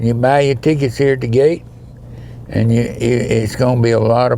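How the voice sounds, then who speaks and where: Over noticeable background noise, a man with an Alabama accent talks at a fairly quick pace and medium pitch in a monotone, flat intonation. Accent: Southern US (Alabama). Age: 80s+. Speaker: charity event founder. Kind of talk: casual interview.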